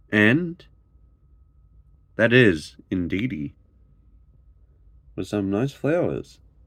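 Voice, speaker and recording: Very slow speech from a man, with long, frequent pauses and very wide pitch swings. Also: fairly low pitch for a man. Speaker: YouTuber opening trading card packs. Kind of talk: casual pack-opening commentary. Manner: animated; occasional stumbles.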